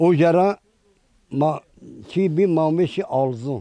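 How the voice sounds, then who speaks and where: In an Eastern Anatolian accent, a man with a dark, mellow tone speaks with ordinary pitch variation, the sound dry and close with no echo. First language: Zazaki (speaking Turkish). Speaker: villager. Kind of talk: casual interview.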